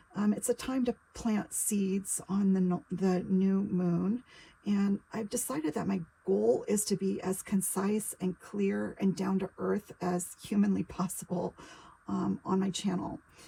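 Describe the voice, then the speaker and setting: A woman speaks at medium pitch and a fairly slow pace. Her voice is somewhat breathy, with fairly even intonation. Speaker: psychic tarot reader. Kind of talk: casual spiritual monologue to camera. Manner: hesitant with frequent fillers.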